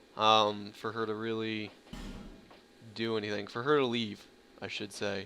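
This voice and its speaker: Over music in the background, a man talks at a moderate pace with monotone, flat intonation. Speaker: let's play gamer. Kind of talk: gameplay commentary. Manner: casual, with many fillers.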